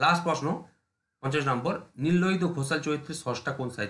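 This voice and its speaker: A man talks with an unremarkable speaking voice. His pitch is fairly high, with ordinary pitch variation. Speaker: exam prep teacher. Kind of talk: lecture.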